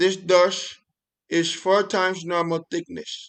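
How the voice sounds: Quiet surroundings and a natural voice reading.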